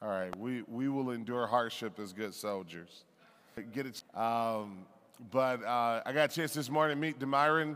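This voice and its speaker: Over audible room echo, a man at a medium pitch talks at a moderate pace with ordinary pitch variation and long, frequent pauses. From Detroit, US Midwest. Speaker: pastor. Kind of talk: sermon.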